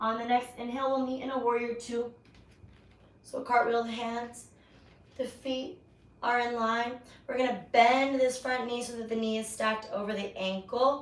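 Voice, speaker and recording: Loud and high-pitched, a woman talks at a moderate pace in a flat monotone, with long, frequent pauses and audible room echo. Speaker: yoga instructor. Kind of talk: guided yoga class. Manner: projecting voice louder. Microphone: mic died, no microphone, may be hard to hear.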